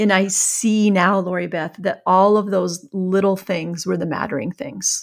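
A woman with a US Midwestern accent, fairly slow and fairly even in intonation, with hardly any pauses. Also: medium pitch for a woman. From rural Iowa, US Midwest. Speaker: author, former journalist. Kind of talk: interview conversation.

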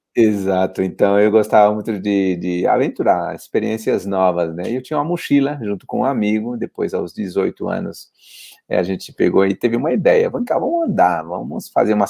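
A man talks at a moderate pace in a quiet background. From São Paulo, east side (Poá). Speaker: pilgrim hostel volunteer on the Camino. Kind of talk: casual interview chat.

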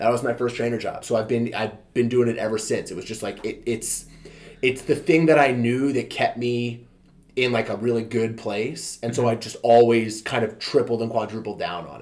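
A man with an American accent, a plain, everyday voice at medium pitch, fairly even intonation, a fairly quick pace and big swings in loudness. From Maryland, US (Montgomery County). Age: 30s. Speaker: personal trainer. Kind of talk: casual chat.

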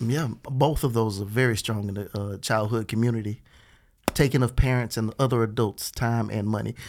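An ordinary speaking voice, this man's has a medium pitch, fairly even intonation, a moderate pace and an American accent. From Beaumont, Texas. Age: 40s. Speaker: stand-up comedian. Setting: studio.

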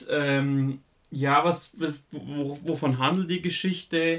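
The man's voice sits fairly high. His pitch stays fairly even from phrase to phrase. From Bavaria, southern Germany. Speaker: film podcast host. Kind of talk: solo podcast monologue, film reviews. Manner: casual with frequent fillers.

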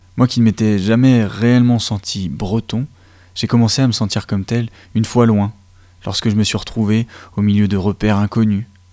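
A man's fairly low, dark, mellow voice at a moderate pace, with long, frequent pauses, in a very clean recording with a silent background. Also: fairly even intonation. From Côtes-d'Armor, Brittany. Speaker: community radio host. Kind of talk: radio show hosting.

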